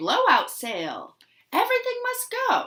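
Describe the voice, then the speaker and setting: A squeaky, put-on character voice from a woman, its pitch extremely high. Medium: read story. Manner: warm, jokey.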